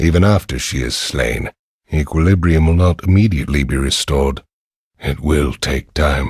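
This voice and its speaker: A man talks at a moderate pace in a put-on character voice with a very deep, low pitch. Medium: video game. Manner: serious, measured.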